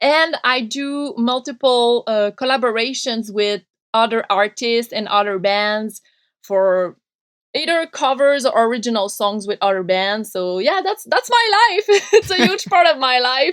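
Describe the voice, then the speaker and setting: A woman with a high pitch talks at a fairly slow pace, her intonation lively. She has a Quebec accent, and the sound is dry and close, with no echo. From Quebec, French Canada. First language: French. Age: 30s. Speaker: punk radio host and podcaster. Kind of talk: interview conversation.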